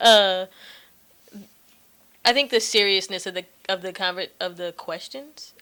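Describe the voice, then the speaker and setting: Soft-spoken, this woman has a bright, sharp tone at medium pitch and talks at a moderate pace. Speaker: podcast host. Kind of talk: casual chat.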